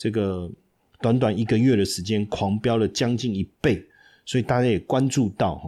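A man with a Taiwanese accent speaks at a fairly low pitch on a very clean recording with a silent background. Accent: Taiwanese Mandarin. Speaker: stock market podcast host, finance professor. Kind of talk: casual market commentary. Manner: chatty, many filler particles.

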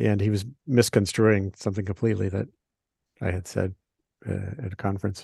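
A man speaks at a fairly low pitch with an American accent and a dark, mellow tone. His voice is somewhat breathy, with ordinary pitch variation. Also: dry, close sound with no echo. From Rhode Island, US. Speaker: science and environmental journalist. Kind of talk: interview conversation. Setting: remote call from home. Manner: halting, many fillers and restarts.

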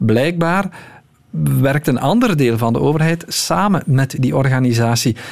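His voice sits fairly high and swings very widely in pitch. The man keeps a moderate pace. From Belgium. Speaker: news journalist. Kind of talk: radio interview.

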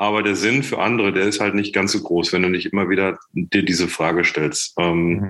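The voice is a man's, fairly low in pitch. It has a bright, sharp tone and a moderate pace. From Germany, Sauerland (Menden). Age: 40s. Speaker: startup founder and managing director. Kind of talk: podcast interview.

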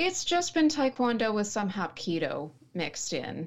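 A woman speaks with an American accent. Her words come through clearly as hers. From West Texas, small town. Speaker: writer and martial artist. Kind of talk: casual interview chat.

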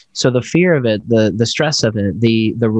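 A man talks in a normal speaking voice at a medium pitch. The sound is dry and close with no echo, over a quiet background. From Tennessee, US (immigrant from Congo, born South Africa). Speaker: neurologist and chiropractor, author. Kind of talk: podcast interview.

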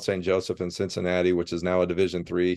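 Speaking very fast at a very deep, low pitch, a man with a Midwestern American accent is heard in a dry, close sound with no echo and a quiet background. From Ohio, US Midwest. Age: 50s. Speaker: football coach. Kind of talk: casual interview.

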